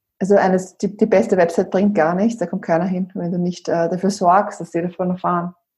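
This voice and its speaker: A woman with an Austrian accent, medium in pitch, with a dark, mellow, somewhat breathy tone, monotone and flat intonation, a fairly quick pace and hardly any pauses. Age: 30s. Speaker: brand consultant. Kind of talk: interview. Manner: halting, many fillers.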